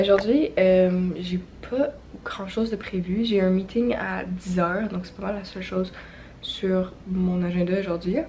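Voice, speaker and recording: Speaking at a fairly slow pace in a Quebec accent, a woman uses a medium pitch with ordinary pitch variation, and noticeable background noise is present. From Quebec, near Montreal. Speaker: vlogger. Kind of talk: casual vlog talk.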